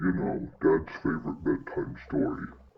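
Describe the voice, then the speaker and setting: A man's put-on character voice at a moderate pace. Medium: solo performance.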